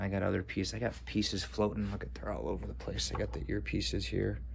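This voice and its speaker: A man speaks with a very deep, low pitch and vocal fry. Audible room echo surrounds his voice. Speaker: cosplay maker, video creator. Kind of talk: casual vlog outro. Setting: garage. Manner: fast; hesitant, filler words.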